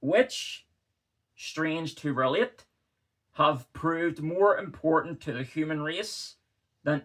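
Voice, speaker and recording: A man with a Northern Irish accent speaks at a very slow pace with ordinary pitch variation. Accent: Northern Irish (Belfast). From Northern Ireland. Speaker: historian. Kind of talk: literary reading.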